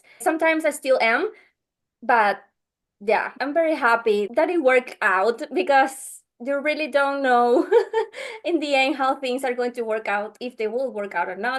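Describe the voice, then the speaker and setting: With a Venezuelan accent and lively intonation, a woman talks at a moderate pace against a quiet background. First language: Spanish. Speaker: podcast editor. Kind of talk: interview. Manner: halting.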